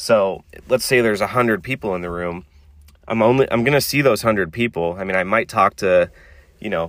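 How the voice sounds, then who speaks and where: With a plain, everyday voice, a man speaks at a fairly quick pace and ordinary pitch variation. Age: 30s. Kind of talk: solo podcast monologue. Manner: casual, filler-heavy.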